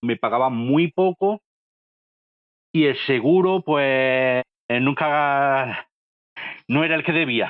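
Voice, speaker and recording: A man with an Andalusian accent, fairly high in pitch, with ordinary pitch variation and a very slow pace. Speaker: manual worker, appliance installer. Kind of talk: interview answer. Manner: plain, homespun.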